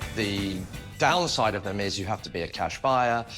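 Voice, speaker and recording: This man talks at a fairly quick pace in a plain, everyday voice. His pitch is fairly low, with ordinary variation. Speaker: auctioneer and property expert on a TV property show. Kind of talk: TV property-show expert commentary.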